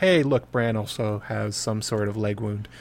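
Medium pitch from a man with an unremarkable speaking voice, kept at a moderate pace. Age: 30s. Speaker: fantasy book podcaster. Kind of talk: casual chat.

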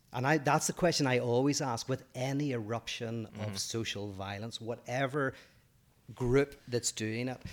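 A man with a Northern Irish accent speaks at a moderate pace with medium pitch and fairly even intonation. The recording is very clean, with a silent background. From Northern Ireland. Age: 40s. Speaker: podcast co-host, philosopher. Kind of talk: casual chat.

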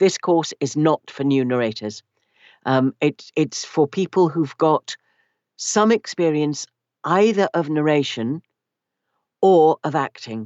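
With a British accent, this speaker talks very slowly, using lively intonation and long, frequent pauses. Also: woman, very deep, low pitch for a woman. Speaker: audiobook narrator and narration coach. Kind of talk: casual interview.

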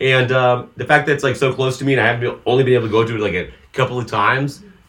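Very fast speech in a Californian accent, with vocal fry and ordinary pitch variation. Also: man. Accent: Californian American. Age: 30s. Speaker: podcast co-host. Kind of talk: casual chat; storytelling.

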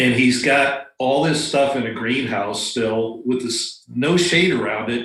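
Medium-pitched male voice with an American accent. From Florida. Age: 60s. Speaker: retired pilot and bonsai practitioner. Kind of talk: casual chat.

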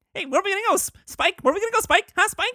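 A put-on character voice pitched extremely high. It races along at a very fast pace. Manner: excited, bouncy.

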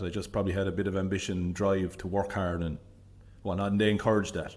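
A man with a Limerick accent, fairly low pitch, and a monotone, flat delivery at a very fast pace. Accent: Irish (Limerick). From Ireland, Limerick City. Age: 40s. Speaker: business leader. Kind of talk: casual interview.

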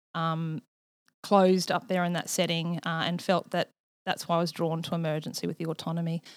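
In an Australian accent, a woman with a fairly low pitch speaks at a fairly quick pace on a very clean recording, the background silent and the sound dry and close with no echo. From rural Australia. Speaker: nurse practitioner. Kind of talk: interview.

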